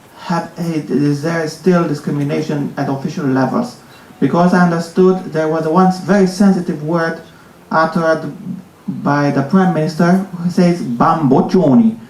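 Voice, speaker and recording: A man speaks at a moderate pace with a high pitch and ordinary pitch variation. Noticeable background noise and audible room echo are present. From Romania. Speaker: audience member asking a question. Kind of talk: audience question.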